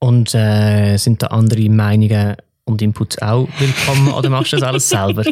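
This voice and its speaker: A man with a plain, everyday voice talks at a moderate pace in a medium pitch with fairly even intonation. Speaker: podcast host. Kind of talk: casual interview.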